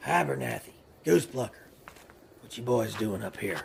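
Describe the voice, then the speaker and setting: A man's raspy, put-on character voice, fairly low, fairly quick, and full of very wide pitch swings. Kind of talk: audio drama performance.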